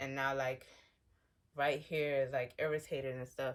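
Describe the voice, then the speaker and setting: A woman speaks with a very deep, low voice. Her intonation is monotone and flat. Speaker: skincare vlogger sharing eczema journey. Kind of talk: casual vlog talk to camera. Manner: fast.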